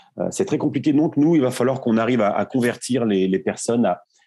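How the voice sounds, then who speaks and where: Against a quiet background, a man's medium-pitched voice carries a dark, mellow tone and ordinary pitch variation. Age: 30s. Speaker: plumber and startup founder. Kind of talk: interview. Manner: halting, frequent repetitions.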